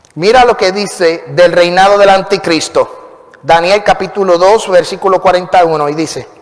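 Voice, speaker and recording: With noticeable background noise, a man speaks at a high pitch and a moderate pace, with fairly even intonation and hardly any pauses. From Puerto Rico. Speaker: pastor. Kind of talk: sermon.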